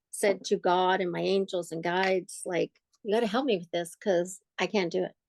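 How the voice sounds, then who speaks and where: At a moderate pace, a woman in an ordinary speaking voice talks at medium pitch with fairly even intonation, and the sound is dry and close with no echo. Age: 60s. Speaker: podcast co-host. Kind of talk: personal testimony in casual interview.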